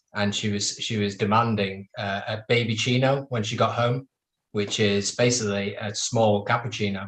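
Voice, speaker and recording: Intonation stays flat and monotone in a somewhat breathy voice. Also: man. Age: 30s. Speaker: roundtable panelist. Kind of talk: casual chat.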